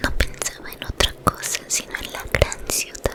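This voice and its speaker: A woman is whispering at a very slow pace. Noticeable background noise can be heard. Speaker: ASMR storyteller. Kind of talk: sleep story. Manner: whispered.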